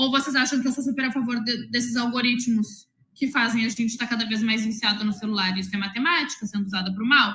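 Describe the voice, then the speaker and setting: A woman's fairly high voice, with ordinary pitch variation, comes at a very fast pace. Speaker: math teacher. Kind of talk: interview. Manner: loud.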